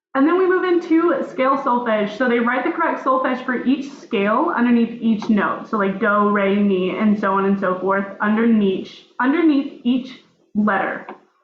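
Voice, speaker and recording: The speech keeps a very even loudness and a lively intonation at a moderate pace, with audible room echo. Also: woman, high pitch for a woman. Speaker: music education student. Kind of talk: presentation of a lesson plan. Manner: halting, many fillers.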